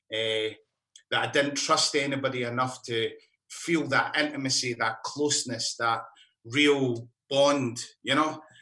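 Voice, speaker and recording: A man speaks with a Scottish accent at medium pitch, using a bright, sharp tone. His intonation is fairly even, broken by long, frequent pauses. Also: fairly slow pace. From Scotland, mining area. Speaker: musician. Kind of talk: casual chat.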